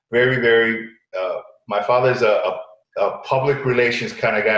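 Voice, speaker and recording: Audible room echo surrounds the voice of a man as he speaks. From Connecticut, US, Puerto Rican family. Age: 60s. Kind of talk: interview. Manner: halting, many repetitions.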